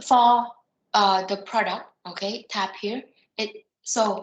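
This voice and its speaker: The intonation runs fairly even. It is an ordinary speaking voice. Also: woman. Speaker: software trainer. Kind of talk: online training session.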